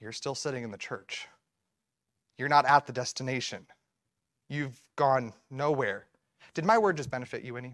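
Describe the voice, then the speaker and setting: The recording is very clean with a silent background, and the tone is animated. The pace is moderate, broken by long, frequent pauses. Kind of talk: sermon. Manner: animated, earnest preacher's cadence, leading the congregation with 'Amen' calls; methodical, explaining step by step through a travel-directions analogy.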